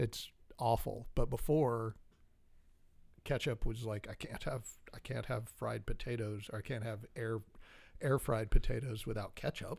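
A man of medium pitch speaks fairly slowly with vocal fry, ordinary pitch variation and long, frequent pauses, in a very clean recording with a silent background. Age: 40s. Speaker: podcast co-host. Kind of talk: casual chat.

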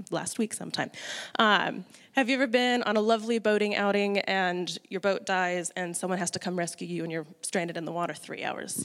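Speaking fairly quickly with an American accent, a woman uses a medium pitch and ordinary pitch variation. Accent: American, noted by others. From US Midwest. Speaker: church lay speaker. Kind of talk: sermon.

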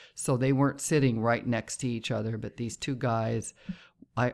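Fairly even intonation and a moderate pace from a woman with a very deep, low pitch. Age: 60s. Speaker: podcast host and intuitive. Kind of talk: casual monologue. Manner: conversational with filler words.

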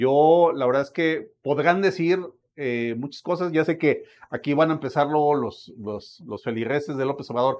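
A man with a Mexican accent speaks at a fairly slow pace. His pitch is fairly high, with ordinary variation. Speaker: political commentator. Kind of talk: casual chat.

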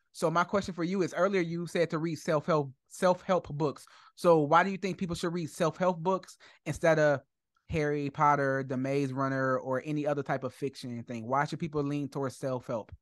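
A man's ordinary speaking voice, fairly high in pitch, with ordinary pitch variation, a moderate pace and a quiet background. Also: dry, close sound with no echo. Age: 30s. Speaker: podcast host. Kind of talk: interview.

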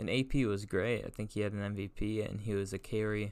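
The man's pitch sits fairly low. His intonation is monotone and flat. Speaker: sports podcast host. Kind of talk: casual chat. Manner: halting.

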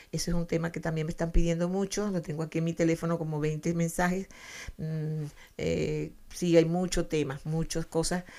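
A woman's dark, mellow tone in a monotone, flat delivery. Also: moderate pace. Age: 70s. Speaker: family counselor, radio host. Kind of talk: radio talk on self-help psychology. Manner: halting, many fillers and repetitions; warm, affectionate.

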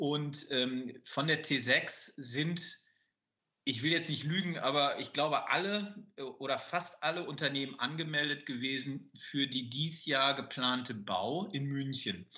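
A man's fairly high-pitched voice with ordinary pitch variation at a very slow pace. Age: 50s. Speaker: business owner. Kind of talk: interview. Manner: hesitant with many fillers.

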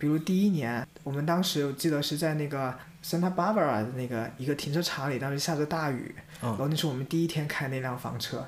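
Recorded with audible room echo, a man speaks fairly quickly at a fairly high pitch with ordinary pitch variation. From China, Jiangxi. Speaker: podcast co-host, volunteer community organizer. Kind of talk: casual chat.

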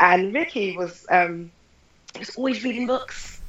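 An ordinary speaking voice from a woman, fairly high in pitch, with ordinary pitch variation. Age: 30s. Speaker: lecturer and film producer. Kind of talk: casual interview.

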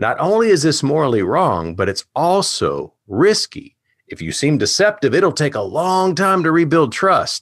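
Speaking fairly slowly with an American accent, a man uses a fairly high pitch with vocal fry. His pitch swings very widely, in a very clean recording with a silent background. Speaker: presentation coach. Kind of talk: lecture.

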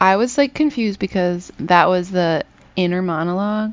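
A woman uses a plain, everyday voice, keeping a moderate tempo and a normal rise and fall in pitch. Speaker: podcast co-host. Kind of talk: casual chat.

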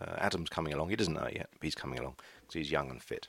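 This man has a very deep, low pitch with vocal fry and an English accent. His pitch varies an ordinary amount, and the sound is dry and close with no echo. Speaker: podcaster, charity shop volunteer. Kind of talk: casual solo chat. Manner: hesitant, filler-heavy.

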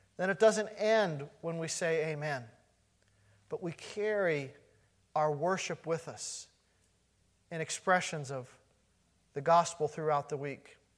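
A man with a fairly high pitch and a warm tone speaks at a fairly slow pace. He leaves long, frequent pauses, and his pitch varies in an ordinary way. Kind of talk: fervent closing prayer at end of a sermon. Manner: earnest, heartfelt, pleading tone, warm and rising with conviction.

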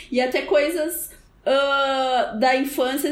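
A woman speaks with a high pitch. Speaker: podcast co-host. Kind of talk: casual chat.

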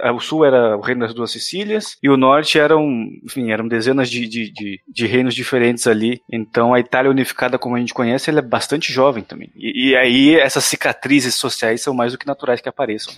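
A plain, everyday voice at a fairly quick pace, ordinary pitch variation and hardly any pauses, in a dry, close sound with no echo. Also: man, medium pitch for a man. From Brazil. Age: 20s. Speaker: podcast host. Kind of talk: casual chat.

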